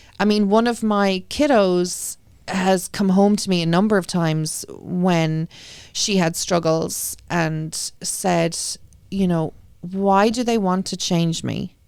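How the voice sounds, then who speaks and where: Very slowly and with fairly even intonation, a woman with an Irish accent speaks at a medium pitch in a very clean recording with a silent background. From Ireland. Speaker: school committee member and parent. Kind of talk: interview.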